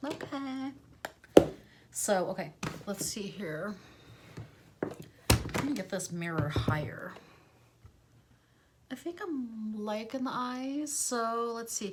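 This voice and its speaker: A woman's fairly high voice at a very slow pace, with lively intonation, long and frequent pauses, and noticeable background noise. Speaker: beauty YouTuber. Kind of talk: makeup tutorial. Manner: casual, rambling with fillers.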